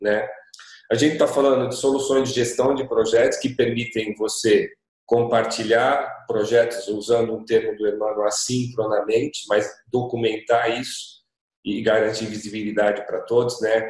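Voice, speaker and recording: At a moderate pace, the somewhat breathy voice holds a monotone, flat intonation. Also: man, medium pitch for a man. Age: 40s. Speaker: digital agency association representative. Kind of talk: panel discussion.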